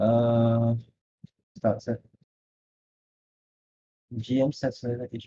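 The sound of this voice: The voice has a dark, mellow tone, moving slowly with little pitch movement. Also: man, medium pitch for a man.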